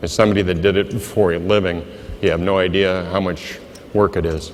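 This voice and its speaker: Amid noticeable background noise and audible room echo, a man with a very deep, low pitch speaks in a Midwestern American accent with fairly even intonation. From US Midwest, Iowa. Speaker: insurance agent. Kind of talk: motivational speech.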